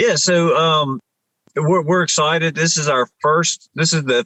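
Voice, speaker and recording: Here a man talks with a strong Appalachian accent. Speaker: military veteran and nonprofit founder. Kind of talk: podcast interview. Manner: halting, many fillers and restarts.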